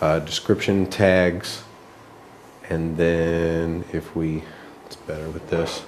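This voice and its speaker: A man speaks very slowly and softly, his pitch very deep and low. His intonation stays monotone and flat, broken by long, frequent pauses. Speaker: app designer. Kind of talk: work meeting presentation. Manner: soft-spoken, kept low; halting, many fillers.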